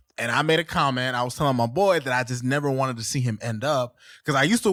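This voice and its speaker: A man with an American accent talks at a very fast pace in an animated tone, his pitch medium with ordinary variation. The recording is very clean, with a silent background. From Haitian family, South Florida. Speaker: podcast host. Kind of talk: casual chat. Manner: loud.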